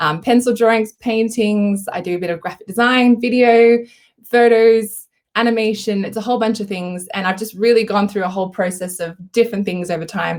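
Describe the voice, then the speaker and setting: In an Australian accent, a woman speaks at a fairly quick pace with a fairly high pitch and fairly even intonation against a quiet background. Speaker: artist. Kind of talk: live tutorial. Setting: live stream. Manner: casual, lots of fillers. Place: home room. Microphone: webcam.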